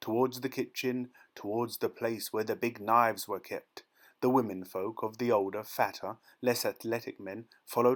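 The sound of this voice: An unforced reading voice keeps its intonation fairly even, and the background is quiet.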